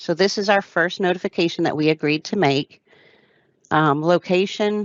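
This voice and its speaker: This is a woman with an unremarkable speaking voice, pitched fairly low, with ordinary pitch variation. She talks at a moderate pace. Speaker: damage prevention liaison presenter. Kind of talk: webinar software tutorial.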